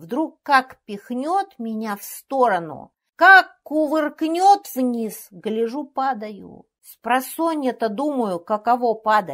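On a very clean recording with a silent background, a woman with a high pitch speaks at a very slow pace, with very wide pitch swings and big swings in loudness. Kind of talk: literary audiobook reading of a comic skaz monologue.

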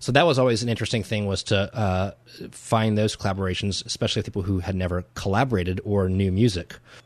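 Against a quiet background, the speaker goes at a very fast pace in an American accent with ordinary pitch variation. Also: man, fairly low pitch for a man. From Virginia, US (Virginia Beach). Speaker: musician and composer. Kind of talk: casual interview.

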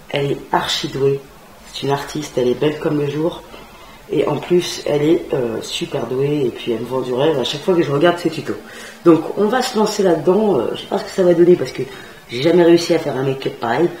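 A woman's very deep, low voice at a fairly quick pace, amid audible room echo and light background noise. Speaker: beauty vlogger. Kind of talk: makeup tutorial chat. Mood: playful, enthusiastic. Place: home room.

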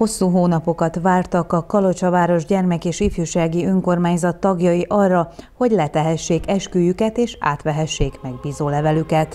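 Over noticeable background noise, a woman speaks at fairly low pitch with fairly even intonation. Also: moderate pace, hardly any pauses. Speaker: news reporter. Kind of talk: news reading.

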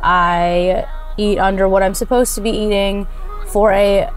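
Faint music plays behind a woman speaking in a flat monotone at a fairly slow pace, with a dry sound and no echo. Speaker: fitness vlogger. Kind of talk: casual vlog chat. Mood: candid, reflective about struggles. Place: car. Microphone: lapel.

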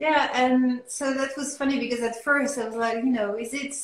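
A woman with a French accent, high-pitched, with fairly even intonation and audible room echo. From France. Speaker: artist. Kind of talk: interview. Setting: video call. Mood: relaxed, reflective. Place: home room. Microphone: video call.

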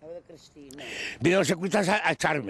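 At a moderate pace, the man speaks in a dry sound with no echo. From Spain. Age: 60s. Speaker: retired pensioner living in a squatted warehouse; interviewee. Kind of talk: news interview testimony. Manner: halting, repetitive. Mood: aggrieved, pleading. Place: open country. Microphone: handheld.

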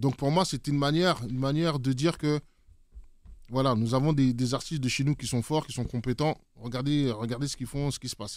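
Talking at a fairly quick pace, a man with an unremarkable speaking voice keeps a medium pitch and fairly even intonation. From French Antilles. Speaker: DJ and music producer. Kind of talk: casual interview. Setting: studio.

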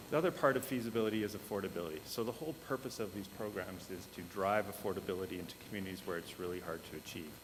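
A man's fairly low voice at a very fast pace, with ordinary pitch variation and audible room echo. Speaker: housing development consultant. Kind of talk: presentation to council. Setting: council meeting. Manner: halting.

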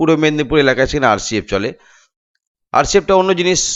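This man has a plain, everyday voice, pitched fairly high. His intonation is lively. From West Bengal, India (Nadia, Shantipur). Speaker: DJ and sound system operator, YouTuber. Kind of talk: vlog monologue, roasting rant.

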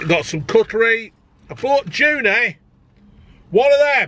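Raised, projected male voice, bright and sharp in tone, with dry sound and no echo. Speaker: food reviewer. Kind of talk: casual vlog chat. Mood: jokey, chatty. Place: car. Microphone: phone near.

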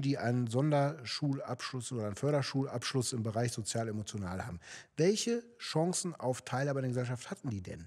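A man speaks fairly quickly, and the background is quiet. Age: 40s. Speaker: local politician, candidate; election candidate. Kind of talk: political interview. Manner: hesitant, many fillers. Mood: calm, explanatory. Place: studio. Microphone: studio mic.

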